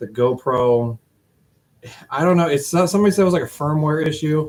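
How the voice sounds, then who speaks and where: Mumbling, a man speaks at a moderate pace. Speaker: Jeep hobbyist streamer. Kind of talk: casual live stream monologue. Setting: garage shop.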